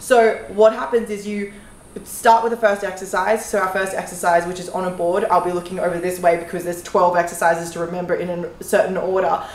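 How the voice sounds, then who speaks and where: There is audible room echo as a woman speaks with fairly even intonation. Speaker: fitness creator. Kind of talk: casual vlog chat. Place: gym.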